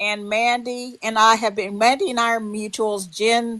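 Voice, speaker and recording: A woman's monotone voice with flat intonation. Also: quiet background. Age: 60s. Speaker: livestream participant. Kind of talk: heated livestream chat.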